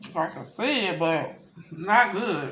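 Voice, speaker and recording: With noticeable background noise, a woman speaks in an American accent. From US South. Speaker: mukbang youtuber. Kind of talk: casual vlog chat while eating. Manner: halting, stumbling on words.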